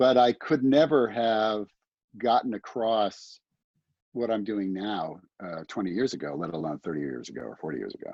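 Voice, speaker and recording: With a normal speaking voice, a man talks at a moderate pace and fairly low pitch, his intonation lively and his loudness swinging widely. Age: 60s. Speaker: songwriter and music manager. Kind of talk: casual chat.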